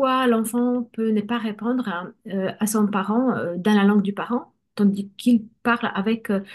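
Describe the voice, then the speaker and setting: A woman with a Polish accent speaks at a fairly slow pace, her pitch fairly high and her intonation fairly even. Her voice is somewhat breathy, and the background is quiet. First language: Polish (speaking French). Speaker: bilingual education coach. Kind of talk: conversational interview.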